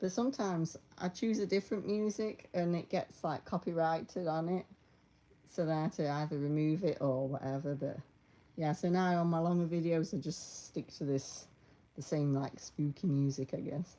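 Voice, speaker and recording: Speaking in a British accent, a woman has a dark, mellow tone, a fairly low pitch and ordinary pitch variation. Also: moderate pace. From Britain. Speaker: YouTuber making costume tutorials. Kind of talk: casual live stream chat. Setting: at home, live stream.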